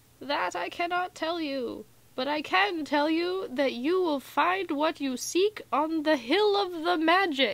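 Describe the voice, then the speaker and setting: Putting on a character voice, a woman speaks in a raspy, extremely high pitch with lively intonation, at a fairly slow pace and with hardly any pauses. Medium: read story. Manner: quiet, solemn.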